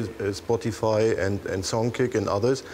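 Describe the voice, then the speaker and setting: Noticeable noise sits behind the speaker. He is a man with a German accent, talking at a fairly slow pace. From Germany. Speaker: tech entrepreneur panelist. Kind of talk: panel discussion.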